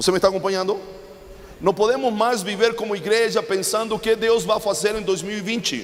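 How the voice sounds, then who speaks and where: A man's high voice at a fairly quick pace, fairly even intonation, noticeable background noise. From Chile. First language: Spanish (speaking Portuguese). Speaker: preacher. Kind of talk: sermon.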